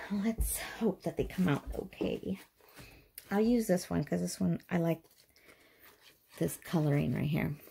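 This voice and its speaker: Her voice fairly low-pitched, dark and mellow in tone and somewhat breathy, a woman speaks at a fairly slow pace. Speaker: craft youtuber. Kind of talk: tutorial. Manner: casual, chatty.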